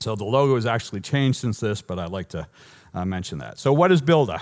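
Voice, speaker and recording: Speaking at a very fast pace, a man with a Boston accent uses lively intonation at a fairly low pitch. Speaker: software engineer giving a conference talk. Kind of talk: conference talk. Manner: animated.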